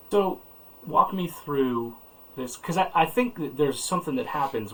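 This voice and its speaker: The man here has an ordinary speaking voice. His intonation is lively and his pace moderate. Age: 40s. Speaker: podcast host. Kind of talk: interview conversation.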